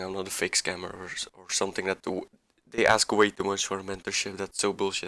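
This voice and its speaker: A man with a non-native accent speaks in a fairly low pitch, a bright, sharp tone, and monotone, flat intonation. The sound is dry and close with no echo, on a very clean recording with a silent background. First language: not English. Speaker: amateur forex trader, video creator. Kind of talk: screen-share trade breakdown tutorial. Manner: halting, repeats words; casual, informal.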